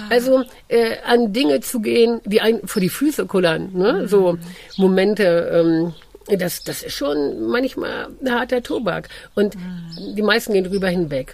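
At a fairly slow pace, a woman uses lively intonation at a medium pitch while noticeable background noise plays behind her. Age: 50s. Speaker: dog trainer and coach. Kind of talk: casual interview.

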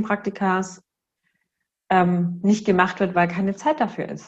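A woman speaks at a fairly slow pace, somewhat breathy. The background is quiet. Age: 30s. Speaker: kindergarten director and systemic counselor. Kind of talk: interview conversation.

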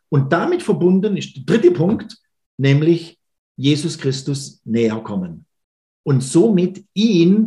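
A man's very slow, somewhat breathy voice with a dark, mellow tone. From Baden-Württemberg, Schwenningen. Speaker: church minister. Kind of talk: podcast interview. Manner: hesitant fillers.

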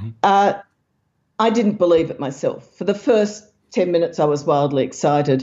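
Lively intonation and a moderate pace mark this speaker with an Australian accent. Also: woman. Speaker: science author and researcher. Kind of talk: interview.

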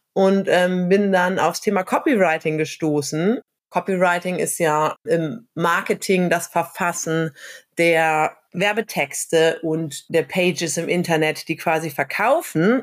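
A woman speaks very slowly in a fairly low voice with ordinary pitch variation, captured on a very clean recording with a silent background. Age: 30s. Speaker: social worker and copywriter. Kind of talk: casual interview.

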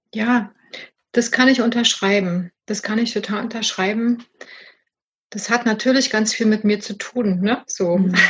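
Fairly high in pitch and somewhat breathy, a woman speaks at a fairly slow pace. Her intonation is fairly even, broken by long, frequent pauses. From East Germany. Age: 50s. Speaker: supervisor and business coach. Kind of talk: casual interview chat. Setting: garden summerhouse.

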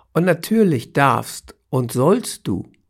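In a very clean recording with a silent background, a man's voice carries vocal fry and very wide pitch swings. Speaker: cancer coach and podcast host. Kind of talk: solo podcast monologue.

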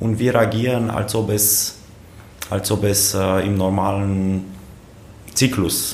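A man's fairly low-pitched, monotone, flat voice at a very slow pace, with long, frequent pauses, noticeable background noise and audible room echo. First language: Romanian (speaking German). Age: 30s. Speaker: politician, member of parliament. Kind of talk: casual interview. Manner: halting, frequent repetitions.

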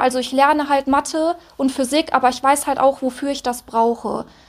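Her pitch high, a woman speaks in a monotone, flat intonation. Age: 20s. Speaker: mechatronics apprentice. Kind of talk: interview.

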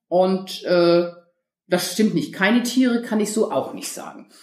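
The woman's intonation is lively and her pace moderate. Room echo is audible. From northern Germany, near Hamburg. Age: 50s. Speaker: dog trainer. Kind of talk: interview.

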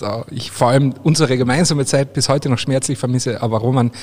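A man's medium-pitched voice, slightly mellow in tone, at a fairly quick pace with fairly even intonation.

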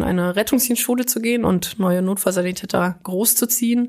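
A woman at a fairly quick pace. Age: 20s. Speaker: paramedic and volunteer firefighter. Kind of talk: interview. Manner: animated.

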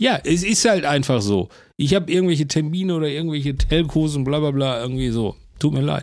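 In a normal speaking voice, a man talks at a fairly quick pace with a fairly high pitch and lively intonation, recorded very cleanly against a silent background. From Bochum, Ruhr area. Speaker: cartoonist and podcast host. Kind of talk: casual chat.

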